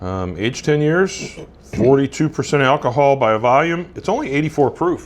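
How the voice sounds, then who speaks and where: A man talks at a moderate pace, his pitch fairly high. His intonation is lively. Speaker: bourbon and cigar show co-host. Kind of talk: casual chat.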